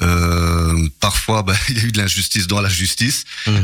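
Here is a man with an ordinary speaking voice and fairly low pitch. He keeps a moderate pace and fairly even intonation. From Belgium, Charleroi. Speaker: local politician. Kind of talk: radio interview. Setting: radio studio.

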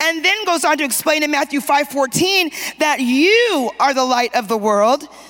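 With music playing behind her, a woman speaks in a high pitch at a moderate pace, her animated tone and lively intonation held at a very even loudness. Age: 50s. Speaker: preacher. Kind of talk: sermon. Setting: church conference, stage with audience. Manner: animated, call-and-response preaching.

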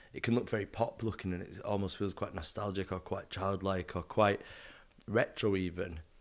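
With a northern English accent, a man speaks at a moderate pace in a fairly low, monotone voice with flat intonation. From northern England. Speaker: artist and designer. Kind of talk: casual interview chat. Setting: at home in London.

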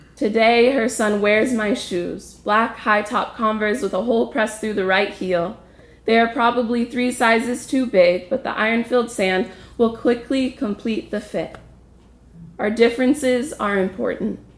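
Talking at a moderate pace in an ordinary speaking voice, a woman with an American accent has a fairly high pitch and fairly even intonation. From US, Ojai, California. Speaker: storyteller, traveler. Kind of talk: personal story performed.

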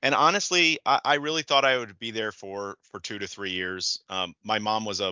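Moderate in pace, a man speaks. His pitch is fairly low. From US Midwest, Metro Detroit, Michigan. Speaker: law school career dean, former litigator. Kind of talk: interview conversation.

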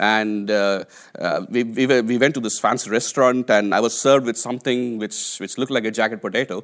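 A man with an Indian accent, fairly quick pace and fairly even intonation. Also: medium pitch for a man. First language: an Indian language (English is third language). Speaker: preacher. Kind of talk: sermon. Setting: church.

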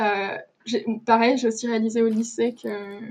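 A woman's fairly high, dark, mellow voice in a flat monotone. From Luxembourg. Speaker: podcast guest. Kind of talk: interview.

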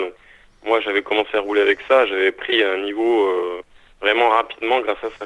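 This man has a fairly low pitch and speaks at a moderate pace. His intonation is monotone and flat. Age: 30s. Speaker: trial mountain bike rider. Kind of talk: interview. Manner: halting.

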